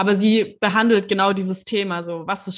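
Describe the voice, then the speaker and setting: In a very clean recording with a silent background, a normal speaking voice talks at a moderate pace with fairly even intonation. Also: woman. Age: 20s. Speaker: Reiki master and astrologer. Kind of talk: casual interview.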